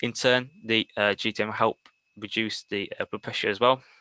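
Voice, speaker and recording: Dry and close with no echo, a man's bright, sharp voice comes at a fairly quick pace with a Birmingham accent, a fairly low pitch and fairly even intonation. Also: quiet background. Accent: Brummie. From Birmingham, England. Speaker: paramedic. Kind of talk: lecture. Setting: webinar.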